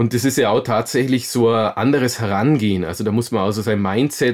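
In a very clean recording with a silent background, a man speaks at a moderate pace in a medium pitch with ordinary pitch variation, an unremarkable speaking voice. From Bavaria, Augsburg. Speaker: mountain biker and adventurer. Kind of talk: interview.

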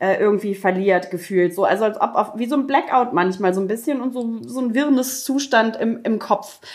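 An unremarkable speaking voice moves at a fairly quick pace with hardly any pauses. Its pitch varies in an ordinary way. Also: woman, fairly high pitch for a woman. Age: 40s. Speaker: podcast co-host. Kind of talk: casual chat.

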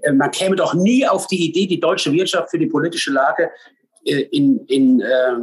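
At a moderate pace, a man talks in a normal speaking voice with lively intonation. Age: 50s. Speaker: sports club president and bobsledder. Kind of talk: casual podcast interview.

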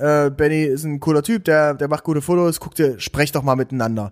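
Recorded very cleanly over a silent background, a man with a plain, everyday voice talks at a moderate pace and a fairly high pitch with ordinary pitch variation. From eastern Germany, Saxony-Anhalt near Dessau. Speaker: content creator and agency founder. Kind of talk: podcast interview.

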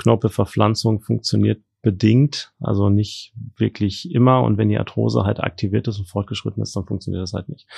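Against a quiet background, a man talks with hardly any pauses in a dry, close sound with no echo. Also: moderate pace. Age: 40s. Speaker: trauma and orthopedic surgeon. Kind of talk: interview. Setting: studio.

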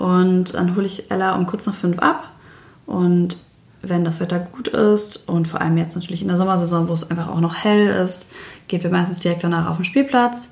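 A woman speaks at a moderate pace with fairly even intonation. Her voice is fairly low and somewhat breathy. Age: 30s. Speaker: single mother. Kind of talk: casual interview.

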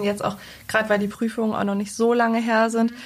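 A woman's fairly high, somewhat breathy voice with flat, monotone intonation. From Lower Saxony, Germany (Salzgitter). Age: 20s. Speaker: bank clerk, recently trained. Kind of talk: interview conversation.

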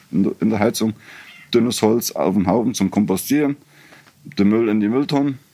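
This is a man's voice. His pitch is fairly low. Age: 50s. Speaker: homeowner running own hydro and solar power. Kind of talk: casual interview.

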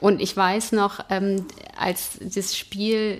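A woman at medium pitch speaks at a very slow pace. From Hanover, Germany. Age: 40s. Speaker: football fan. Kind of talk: casual chat. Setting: stadium.

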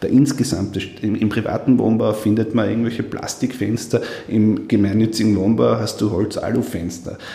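At a moderate pace, a man with an Upper Austrian accent talks in a fairly low pitch and fairly even intonation, with noticeable background noise and audible room echo. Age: 30s. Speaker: politician. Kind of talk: interview.

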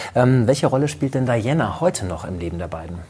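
Background noise is noticeable. The speaker keeps a fairly quick pace. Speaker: talk show host. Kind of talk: conversational talk show.

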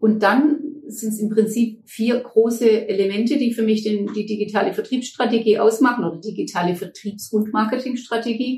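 A woman with a fairly high pitch, a dark, mellow tone and a somewhat breathy sound speaks at a moderate pace. Her intonation is fairly even, with hardly any pauses. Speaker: management consultant, company director. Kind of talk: interview conversation.

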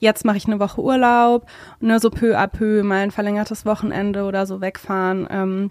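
A woman talks at medium pitch and a moderate pace in a monotone, flat intonation. The recording is very clean, with a silent background. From Germany, Hesse. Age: 20s. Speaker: beautician and salon owner. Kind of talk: interview, casual chat.

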